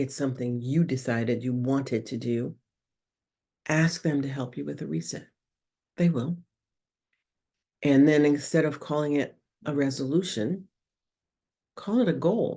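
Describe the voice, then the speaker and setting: A woman's very deep, low voice, dark and mellow in tone, with lively intonation and long, frequent pauses. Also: moderate pace. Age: 60s. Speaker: spiritual podcast host. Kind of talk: casual spiritual talk. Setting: video podcast.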